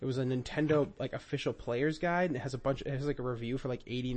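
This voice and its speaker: A man is talking. His voice sits at a fairly high pitch. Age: 20s. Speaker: podcast host, video game collector. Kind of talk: casual chat.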